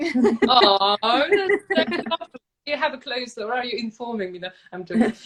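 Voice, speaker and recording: A woman with a high voice talks at a moderate pace, her pitch swinging very widely. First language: not English. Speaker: podcast guest. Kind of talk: casual chat. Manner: halting, with frequent repetitions.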